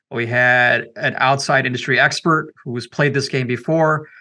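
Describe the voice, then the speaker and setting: Against a quiet background, a man speaks in a bright, sharp tone with monotone, flat intonation. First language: not English. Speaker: company CEO. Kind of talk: podcast interview. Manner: filler-heavy conversational.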